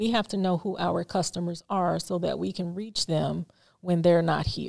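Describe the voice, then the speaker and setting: In an ordinary speaking voice, a woman with an American accent talks at a fairly slow pace with fairly even intonation, captured on a very clean recording with a silent background. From Chicago, near Hammond, Indiana. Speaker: market executive director. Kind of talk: interview.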